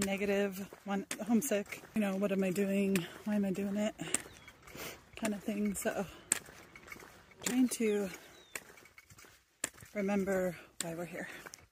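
A woman at a fairly slow pace, monotone and flat in intonation, with long, frequent pauses, a dry sound with no echo, and noticeable background noise. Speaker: pilgrim vlogger. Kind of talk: casual vlog chat. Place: open country. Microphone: phone near.

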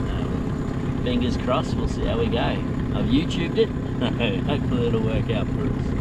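Loud background noise sits behind a man speaking at a moderate pace, the sound dry with no echo. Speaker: family sailing vlogger. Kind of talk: casual vlog chat. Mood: cheerful, excited. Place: boat. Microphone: phone near.

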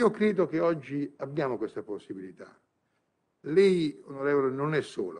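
Against a quiet background, a man talks at a moderate pace. His fairly high voice carries lively intonation. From southern Italy, Bari province (Puglia); Puglia, Italy. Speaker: honorary ambassador; conference guest. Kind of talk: conference speech. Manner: impassioned. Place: hall. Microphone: podium.

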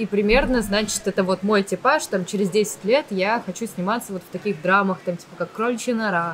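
A woman at a fairly quick pace, ordinary pitch variation, and light background noise. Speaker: actress and blogger; actress, blogger. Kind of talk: casual interview. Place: cafe. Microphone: studio mic.

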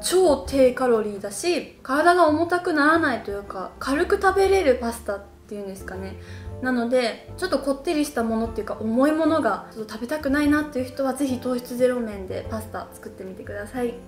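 At a fairly quick pace, a woman talks with a high pitch and big swings in loudness. Room echo is audible, and faint music plays behind her. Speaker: diet recipe vlogger. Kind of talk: casual vlog chat. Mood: relaxed, cheerful. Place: home room.

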